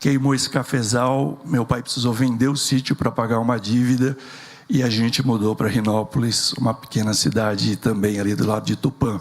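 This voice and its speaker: His is an unremarkable speaking voice: a man at a medium pitch and moderate pace, with very even loudness. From rural interior of São Paulo state, Brazil. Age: 60s. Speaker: entrepreneur and engineer. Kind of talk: keynote talk.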